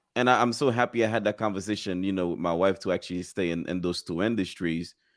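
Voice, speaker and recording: In a very clean recording with a silent background, a man with a slight non-native accent talks at a very fast pace in a fairly low pitch. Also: ordinary pitch variation. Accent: slight foreign. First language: not English. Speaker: agency owner. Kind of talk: casual chat.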